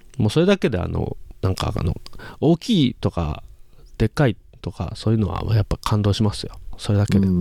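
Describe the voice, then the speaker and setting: A man with a fairly low pitch and a dark, mellow tone speaks with lively intonation. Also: fairly quick pace, dry, close sound with no echo. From Hiroshima, Japan. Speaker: podcast host and dialect dubbing voice performer. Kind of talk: casual chat.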